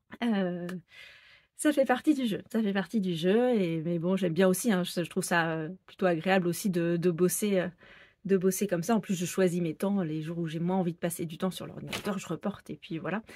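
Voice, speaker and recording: A woman with a dark, mellow tone and a medium pitch speaks at a moderate pace with ordinary pitch variation, recorded very cleanly over a silent background. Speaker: sewing pattern designer and knitting vlogger. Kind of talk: casual vlog podcast. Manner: hesitant with many fillers.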